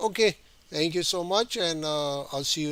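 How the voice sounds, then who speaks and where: A man's high-pitched voice at a moderate pace, with ordinary pitch variation, on a very clean recording with a silent background. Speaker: art teacher. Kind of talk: tutorial. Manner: halting, many fillers.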